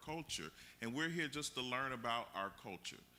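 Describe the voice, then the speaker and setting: A man's bright, sharp tone with an American accent. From Miami, Florida. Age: 40s. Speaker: workshop facilitator. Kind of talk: community workshop discussion. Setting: museum event with audience.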